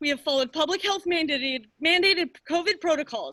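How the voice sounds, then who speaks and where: Extremely high in pitch, a woman's raised, projected voice carries a bright, sharp tone at a fairly quick pace. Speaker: parent giving public comment. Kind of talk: public comment at meeting. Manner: loud.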